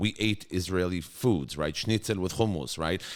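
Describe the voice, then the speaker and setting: A man with a New York accent at a fairly quick pace. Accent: New York American English. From New York (Brooklyn), US. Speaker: school executive. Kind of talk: podcast interview. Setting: studio. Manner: animated.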